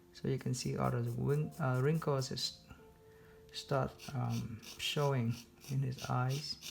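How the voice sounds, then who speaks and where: In a non-native accent, the speaker goes at a very slow pace with long, frequent pauses as music plays in the background. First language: not English. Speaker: art instructor. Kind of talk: tutorial. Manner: halting, many fillers.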